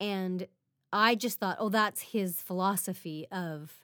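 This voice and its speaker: A woman with a Canadian accent and an unremarkable speaking voice, at a fairly slow pace. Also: very clean recording, silent background. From Regina, Saskatchewan, Canada. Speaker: podcast co-host. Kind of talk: casual chat.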